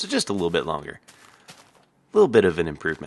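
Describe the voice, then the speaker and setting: A man's voice with vocal fry, at a moderate pace. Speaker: gaming video creator. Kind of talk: tutorial. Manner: casual, with fillers.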